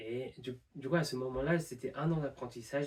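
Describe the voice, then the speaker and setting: A man talks at a moderate pace with a non-native accent. His pitch varies in an ordinary way. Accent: non-native French, pronunciation errors. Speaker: university student, language learner. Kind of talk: improvised monologue to camera. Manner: hesitant, many fillers.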